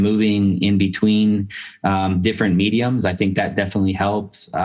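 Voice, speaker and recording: Here is a man with a normal speaking voice, fairly low in pitch. He speaks at a moderate pace. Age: 40s. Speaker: novelist and professor. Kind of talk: interview. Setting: video call.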